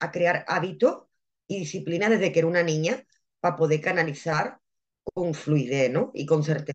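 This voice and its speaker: A woman talks at a moderate pace with a fairly low pitch and ordinary pitch variation. It is a normal speaking voice. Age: 30s. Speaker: medium and spiritual mentor. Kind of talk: interview. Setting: live video stream.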